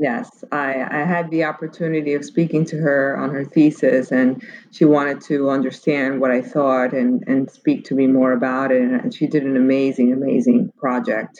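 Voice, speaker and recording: Noticeable background noise sits behind a woman with a very deep, low pitch. She speaks at a moderate pace with hardly any pauses. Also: ordinary pitch variation. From Cuba. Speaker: menswear production executive. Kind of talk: interview conversation.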